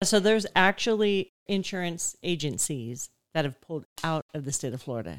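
A woman in a normal speaking voice, fairly low-pitched, with lively intonation at a moderate pace, in a very clean recording with a silent background and a dry, close sound with no echo. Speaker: podcast co-host interviewer. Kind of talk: casual interview chat.

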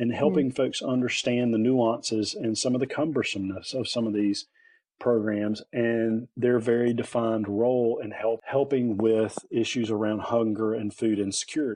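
Here a man speaks with a North Carolina accent in a dark, mellow tone at medium pitch. His intonation is monotone and flat, and his pace is moderate. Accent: North Carolina Southern. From North Carolina (Lillington, near Raleigh). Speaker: head of a leadership nonprofit, former teacher. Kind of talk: interview.

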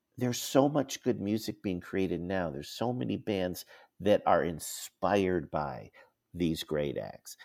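A man speaks fairly slowly with vocal fry, his pitch very deep and low, his intonation lively. The recording is very clean with a silent background and a dry, close sound with no echo. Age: 60s. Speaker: music journalist and magazine editor. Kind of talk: casual interview. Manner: halting.

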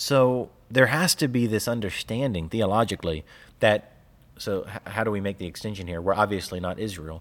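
Over a very clean recording with a silent background, a man with a fairly low pitch uses a normal speaking voice at a moderate pace with ordinary pitch variation. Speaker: podcast co-host. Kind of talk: casual chat about theology.

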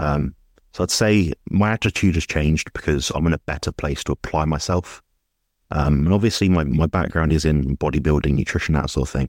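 A man with a British accent speaks fairly quickly in a very deep, low voice with vocal fry, ordinary pitch variation and very even loudness. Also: dry, close sound with no echo. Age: 20s. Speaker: nutrition coach. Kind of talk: interview. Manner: hesitant, many fillers.

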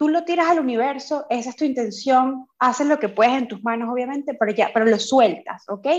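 At a fairly quick pace and high pitch, a woman talks with hardly any pauses. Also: ordinary pitch variation. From Venezuela. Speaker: coaching course student. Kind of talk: interview testimony.

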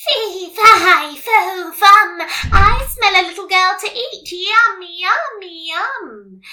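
In a put-on character voice, a female-sounding voice speaks very slowly at an extremely high pitch. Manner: menacing, cackling.

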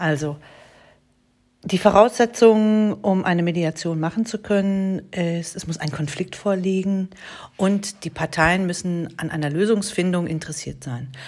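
A woman speaks fairly slowly at a medium pitch, her pitch varying in an ordinary way. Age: 40s. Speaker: mediator and podcast host. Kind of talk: solo podcast monologue. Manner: hesitant with fillers.

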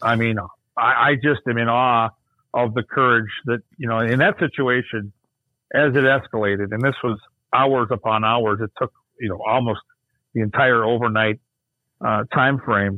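Speaking with an Upper Midwest accent, a man talks at a moderate pace and medium pitch with fairly even intonation and long, frequent pauses. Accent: Upper Midwest (Minnesota). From Minnesota (Burnsville). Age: 50s. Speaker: hockey broadcaster. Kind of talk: casual chat.

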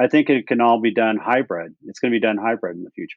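A man at a medium pitch speaks at a fairly quick pace in a plain, everyday voice. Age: 60s. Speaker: health technology company executive. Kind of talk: interview.

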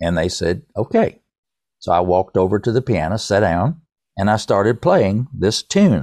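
Over a quiet background, a man with a fairly low pitch speaks at a moderate pace, the sound dry and close with no echo. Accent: East Tennessee. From East Tennessee. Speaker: songwriter and author. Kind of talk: interview, casual chat.

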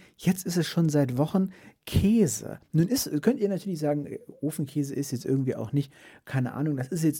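A man with a fairly high pitch and a dark, mellow tone talks at a moderate pace with lively intonation on a very clean recording with a silent background. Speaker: streamer and podcast host. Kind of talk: casual solo podcast monologue. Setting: home podcast set. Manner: halting, many restarts and fillers.

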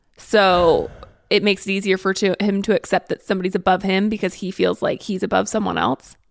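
In a very clean recording with a silent background and a dry, close sound with no echo, a woman with medium pitch and vocal fry speaks at a fairly quick pace in a monotone, flat intonation. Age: 20s. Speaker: podcast co-host and social media creator. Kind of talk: casual chat.

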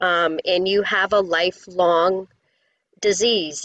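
An unremarkable speaking voice from a woman, medium in pitch with fairly even intonation, dry and close with no echo. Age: 50s. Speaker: yoga teacher and recovery coach. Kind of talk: interview testimony.

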